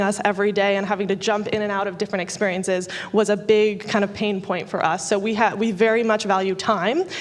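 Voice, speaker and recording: A woman speaks in a monotone with flat intonation. Noticeable background noise runs under her voice. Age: 20s. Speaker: tech startup co-founder. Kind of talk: panel discussion.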